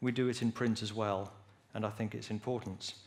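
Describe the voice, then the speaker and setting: Moderate pace with an English accent. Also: man. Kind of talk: lecture.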